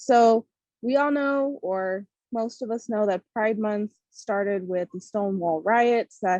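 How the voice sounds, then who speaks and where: A woman with an American accent speaks fairly slowly, her pitch fairly high and her tone dark and mellow. The sound is dry and close, with no echo. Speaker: podcast host. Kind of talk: casual podcast talk.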